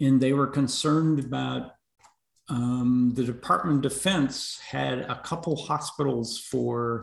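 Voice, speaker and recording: A man speaks at a fairly slow pace with a medium-pitched voice. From US Northeast. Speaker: veterans advocate. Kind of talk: interview. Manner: halting.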